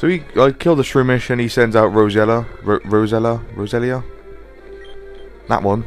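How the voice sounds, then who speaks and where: A man's medium-pitched voice at a moderate pace, with ordinary pitch variation, long and frequent pauses, and music in the background. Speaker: let's play gamer. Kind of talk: game commentary.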